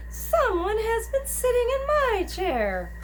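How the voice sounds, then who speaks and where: A put-on character voice, squeaky and extremely high in pitch, moves at a fairly slow pace. Background noise is clearly audible. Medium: read story.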